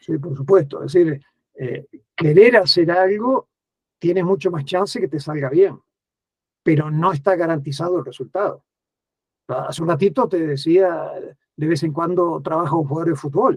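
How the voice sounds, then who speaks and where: At a moderate pace, a man with a high pitch talks with ordinary pitch variation and long, frequent pauses. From Uruguay. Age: 60s. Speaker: writer and education speaker. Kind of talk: interview conversation.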